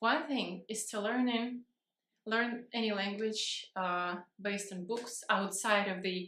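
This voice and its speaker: A woman with a non-native accent speaks at a medium pitch and a very slow pace, her tone bright and sharp and her intonation fairly even. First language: not English. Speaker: vlogger. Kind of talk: casual vlog talk. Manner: halting, many fillers and restarts.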